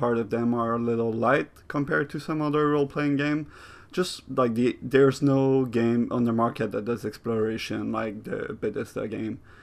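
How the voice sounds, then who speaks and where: A man of medium pitch at a moderate pace, with hardly any pauses and fairly even intonation, over a quiet background. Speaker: video game critic. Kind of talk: improvised video essay. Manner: casual, improvised.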